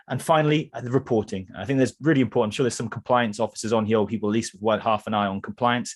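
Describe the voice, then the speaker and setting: A man with a Welsh accent, medium pitch, and ordinary pitch variation, set against a quiet background. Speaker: cybersecurity vendor presenter, former security analyst. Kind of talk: product presentation webinar. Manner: hesitant with fillers.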